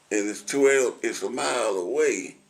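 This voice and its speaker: A man speaks with a Middle Tennessee accent. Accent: Southern US (Middle Tennessee). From Williamson County, Tennessee. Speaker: retired concrete truck driver, war veteran. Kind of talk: oral history interview answer. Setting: assisted living center.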